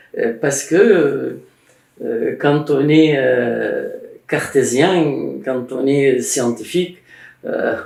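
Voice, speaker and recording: With an Arabic accent, a man talks at a very slow pace with long, frequent pauses. Room echo is audible. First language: Arabic (speaking French). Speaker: Egyptologist and author. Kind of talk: casual conversation about religious history. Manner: halting, many hesitations.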